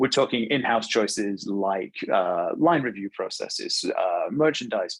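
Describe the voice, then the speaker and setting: The speaker talks at a moderate pace with a British accent. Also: man. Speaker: webinar presenter, fashion technology consultant. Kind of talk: webinar presentation. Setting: online webinar. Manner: fluent with frequent fillers and repetitions.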